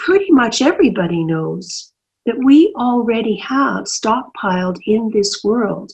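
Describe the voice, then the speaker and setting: Her voice is fairly high and somewhat breathy, with very wide pitch swings. The woman speaks at a fairly slow pace. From Canadian prairies. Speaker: senator and human rights lawyer. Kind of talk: interview answer.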